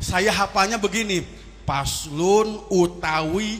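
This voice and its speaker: With a West Javanese accent, a man speaks at a very slow pace amid noticeable background noise and audible room echo. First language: Sundanese (speaking Indonesian). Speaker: Islamic preacher (kiai). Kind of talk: sermon.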